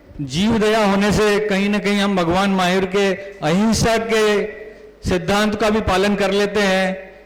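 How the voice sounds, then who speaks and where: A man with a high pitch speaks in a monotone, flat way at very even loudness. Noticeable background noise and audible room echo fill the recording. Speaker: doctor and event emcee. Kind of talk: event hosting speech.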